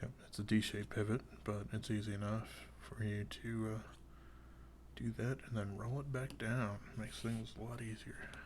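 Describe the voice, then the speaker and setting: A man's soothing, calm voice, somewhat breathy and fairly low in pitch. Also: fairly even intonation, moderate pace. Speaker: knife reviewer. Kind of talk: casual talk to camera. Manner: soothing, calm, rambling.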